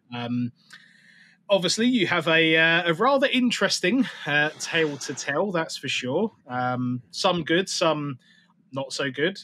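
A very slow-paced man with an English accent, bright and sharp in tone, with lively intonation and light background noise. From England. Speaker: podcast host. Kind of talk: casual chat. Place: home room. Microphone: earbuds.

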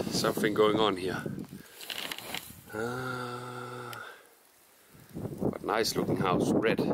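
Against loud background noise, a man speaks at a very slow pace in a dry sound with no echo. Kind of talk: casual vlog chat. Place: garden. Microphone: phone near.

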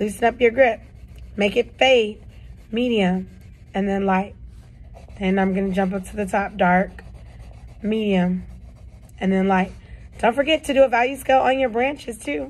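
The woman's voice is somewhat breathy, with ordinary pitch variation and a moderate pace. She leaves long, frequent pauses. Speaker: art teacher. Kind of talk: tutorial. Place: classroom. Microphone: phone near.

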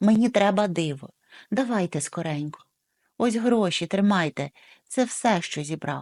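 Plain reading aloud with lively intonation is set against a quiet background.

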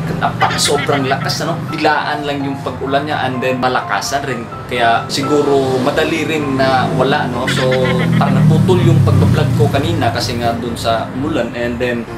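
A man talks at a moderate pace with music playing in the background. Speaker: vlogger. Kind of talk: casual vlog chat. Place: home room. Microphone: phone near.

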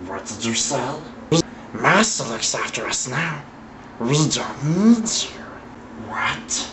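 Against clear background noise, a man uses a put-on character voice with fairly high pitch. He talks at a very slow pace with long, frequent pauses. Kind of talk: dramatic monologue. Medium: stage. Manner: hissing, raspy, frantic.

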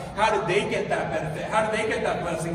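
A man's raised, projected voice at a high pitch in a confident, animated tone, with audible room echo and light background noise. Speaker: pastor. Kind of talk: sermon. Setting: church with live audience. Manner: conversational and humorous, building to a confident, urgent delivery. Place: hall.

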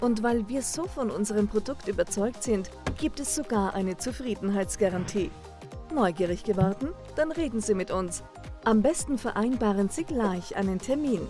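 Music plays behind a woman who speaks at a moderate pace and medium pitch with lively intonation. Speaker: voice actor, professional narrator. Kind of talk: corporate explainer video narration.

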